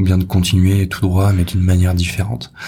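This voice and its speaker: Somewhat breathy and at a fairly quick pace, a man speaks at a very deep, low pitch. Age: 20s. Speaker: podcast host, copywriter. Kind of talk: personal monologue. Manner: halting, many repetitions and fillers.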